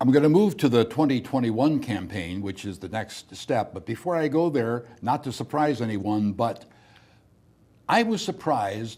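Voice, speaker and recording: Lively intonation runs through this man's dark, mellow tone as he talks at a moderate pace and medium pitch with a Midwestern American accent. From US Midwest. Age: 70s. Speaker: TV talk show host. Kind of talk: interview.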